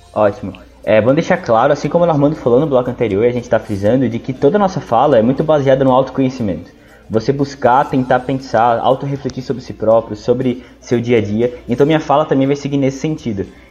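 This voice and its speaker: Speaking very fast with hardly any pauses, a man uses a medium pitch and ordinary pitch variation over noticeable background noise. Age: 20s. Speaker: history student and study mentor. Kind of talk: casual educational talk.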